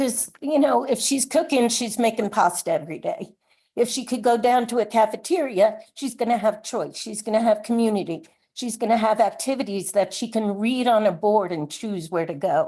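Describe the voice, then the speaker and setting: Over a quiet background, a woman's fairly high voice carries a dark, mellow tone and lively intonation. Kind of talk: public comment at meeting. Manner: fast.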